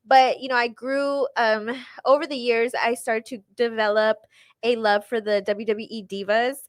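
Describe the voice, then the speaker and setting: At a moderate pace, a woman speaks with a fairly high pitch and fairly even intonation. Hers is a plain, everyday voice, recorded very cleanly against a silent background. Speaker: radio host and wrestling ring announcer. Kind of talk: casual podcast conversation.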